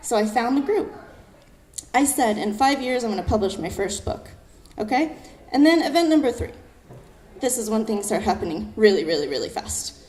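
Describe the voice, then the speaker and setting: A woman with a high voice speaks fairly quickly in an animated tone, her pitch swinging very widely between long, frequent pauses. Room echo and noticeable background noise are audible. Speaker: poet. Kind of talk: storytelling talk on stage. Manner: fast.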